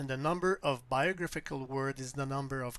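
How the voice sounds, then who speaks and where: A man with a French accent on a very clean recording with a silent background. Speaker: astrology software developer. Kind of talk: lecture.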